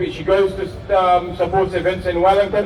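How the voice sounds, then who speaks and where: A high-pitched man talks with audible room echo and noticeable background noise around him. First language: Arabic. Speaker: rally speaker. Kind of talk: rally speech.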